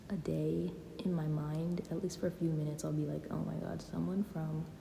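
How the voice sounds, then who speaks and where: Audible room echo fills the space. A woman speaks at a moderate pace. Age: 20s. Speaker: YouTuber. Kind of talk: casual chat. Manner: hesitant, pauses and stutters; unscripted, filler-heavy.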